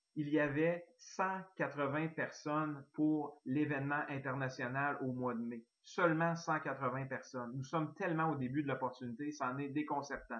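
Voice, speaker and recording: With a Quebec accent, a man speaks at a fairly slow pace and fairly high pitch, keeping his intonation fairly even with hardly any pauses. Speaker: network marketing distributor. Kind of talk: sales pitch.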